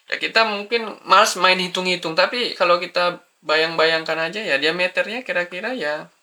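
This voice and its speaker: With a slight Medan accent, the speaker keeps a moderate pace and hardly pauses at all. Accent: Sumatran Medan accent, slight. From Sumatra, Medan. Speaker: drawing tutor. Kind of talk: tutorial. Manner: casual, thinking aloud with hesitations.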